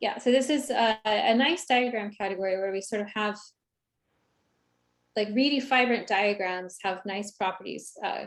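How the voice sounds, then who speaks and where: A fairly high-pitched woman at a moderate pace, with ordinary pitch variation, on a very clean recording with a silent background. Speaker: mathematics lecturer. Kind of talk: lecture. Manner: halting, many fillers.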